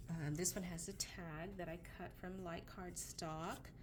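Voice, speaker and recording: The voice carries vocal fry and a monotone, flat intonation. The pace is very slow. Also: woman. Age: 50s. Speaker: paper craft seller showing products. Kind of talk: product show-and-tell. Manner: casual with frequent fillers. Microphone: camera mic, sound problems.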